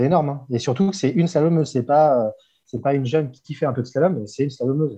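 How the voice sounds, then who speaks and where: Against a quiet background, a man with a somewhat breathy, dark, mellow tone and fairly high pitch talks at a very fast pace with ordinary pitch variation. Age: 40s. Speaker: inline skater, photographer and fitness coach. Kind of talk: casual interview.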